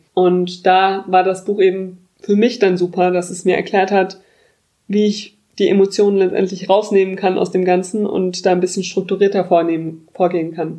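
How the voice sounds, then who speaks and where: A woman speaks in a medium pitch with a dark, mellow tone. Her intonation is monotone and flat, her pace moderate. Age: 20s. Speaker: podcast host. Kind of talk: casual chat.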